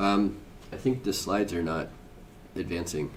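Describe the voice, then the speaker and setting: Audible room echo surrounds a man with a very deep, low pitch, talking at a moderate pace with ordinary pitch variation. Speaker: software engineer presenting a conference talk. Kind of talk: conference presentation. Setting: conference room with live audience. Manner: loud.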